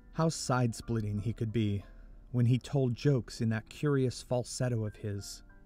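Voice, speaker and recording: Music plays behind a man with a medium pitch. He talks at a moderate pace with fairly even intonation. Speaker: audiobook narrator, voice actor. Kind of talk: historical biography audiobook narration.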